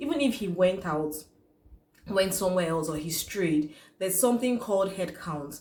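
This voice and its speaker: Here a woman talks at a medium pitch with a Nigerian accent and lively intonation. Noticeable background noise and audible room echo fill the recording. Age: young. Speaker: YouTuber. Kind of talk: vlog commentary.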